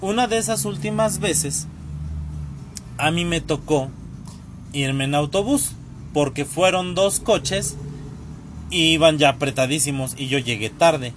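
A man with a fairly high pitch talks in an animated tone with lively intonation. His pace is fairly slow, with long, frequent pauses. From Mexico City area, Tlalnepantla. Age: 30s. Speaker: podcast host. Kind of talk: casual storytelling monologue. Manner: animated, laughing.

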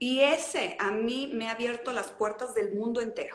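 A high-pitched woman's voice at a moderate pace, with audible room echo. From Mexico, León (Guanajuato). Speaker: traveler. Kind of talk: casual interview. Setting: livestream.

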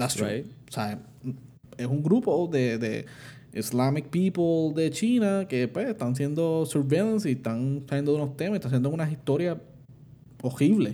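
A man's dark, mellow tone, fairly high in pitch, with lively intonation at a fairly slow pace. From Puerto Rico. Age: 20s. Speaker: podcast co-host. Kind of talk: casual chat.

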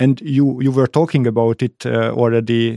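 A man with a Hungarian accent is heard in a very clean recording with a silent background. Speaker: podcast host. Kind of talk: interview. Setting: studio. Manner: halting.

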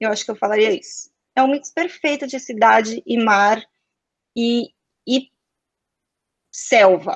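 The speaker, in a São Paulo accent, goes at a fairly slow pace with long, frequent pauses and ordinary pitch variation, in a dry, close recording with no echo. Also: woman, fairly high pitch for a woman. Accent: São Paulo Brazilian Portuguese. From Brazil, São Paulo. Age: 20s. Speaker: advertising professional. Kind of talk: casual interview chat.

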